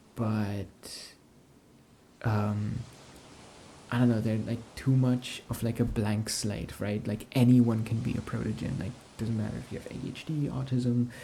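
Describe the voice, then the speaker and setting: A soft-spoken man at medium pitch, somewhat breathy, with a dark, mellow, gentle tone, a fairly slow pace and long, frequent pauses. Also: fairly even intonation. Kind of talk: casual talk to camera, soft-spoken ASMR chat. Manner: soft-spoken, gentle.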